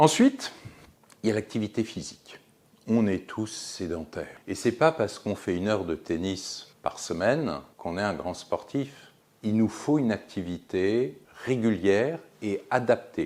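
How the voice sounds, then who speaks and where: On a very clean recording with a silent background, a man with a normal speaking voice talks fairly slowly at a fairly low pitch with lively intonation. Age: 60s. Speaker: physician, geriatrician. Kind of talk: explanatory talk to camera.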